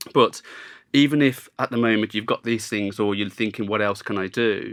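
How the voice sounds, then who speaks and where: A man with a Birmingham accent and a medium pitch speaks with fairly even intonation in a very clean recording with a silent background. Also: moderate pace. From Birmingham, England. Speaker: podcast host, business development manager. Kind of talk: podcast interview. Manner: conversational, some hesitation.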